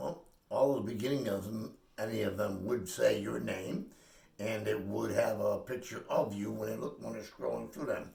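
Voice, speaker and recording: Audible room echo follows a man as he talks at a moderate pace. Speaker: spiritual healer. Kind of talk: casual chat. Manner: loud.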